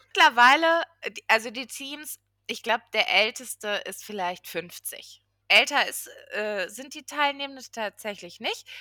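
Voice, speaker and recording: Speaking fairly slowly in a high, bright, sharp voice, a woman uses lively intonation and big swings in loudness, captured on a very clean recording with a silent background and a dry, close sound with no echo. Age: 30s. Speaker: regional business development project manager. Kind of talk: podcast interview.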